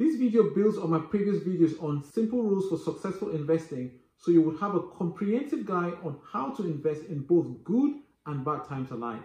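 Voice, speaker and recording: A high-pitched man at a fairly quick pace, with audible room echo. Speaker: finance educator. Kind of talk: tutorial. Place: home room.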